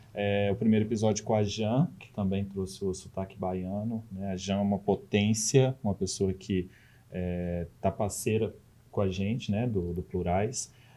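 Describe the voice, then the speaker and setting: A man with a Minas Gerais accent, fairly low in pitch, with a dark, mellow tone, fairly even intonation and a fairly slow pace. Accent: mineiro Brazilian Portuguese. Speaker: podcast co-host, educator. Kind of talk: podcast interview.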